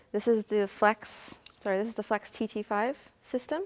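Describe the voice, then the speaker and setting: A woman speaks in a plain, everyday voice at a fairly high pitch and moderate pace. The sound is dry and close with no echo. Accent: Canadian. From Canada, Hamilton Ontario. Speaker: photographer. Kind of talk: tutorial.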